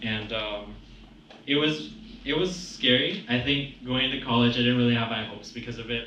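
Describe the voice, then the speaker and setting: Over noticeable background noise and audible room echo, a man speaks at a fairly quick pace in a medium pitch with ordinary pitch variation. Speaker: college student. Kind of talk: testimony.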